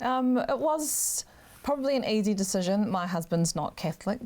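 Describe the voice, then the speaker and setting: A woman with a New Zealand accent, on a very clean recording with a silent background. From New Zealand, Auckland North Shore. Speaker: political candidate. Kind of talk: interview.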